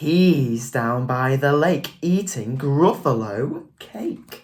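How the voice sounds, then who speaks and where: The speaker uses a put-on character voice at a low-to-middle pitch and a very slow pace. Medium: read story.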